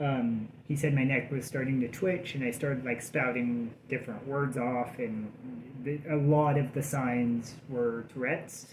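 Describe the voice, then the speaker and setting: Noticeable background noise and audible room echo surround a man speaking at a fairly slow pace. His pitch is medium and his intonation fairly even. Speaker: vlogger in addiction recovery. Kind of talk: casual vlog update. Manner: halting, many fillers.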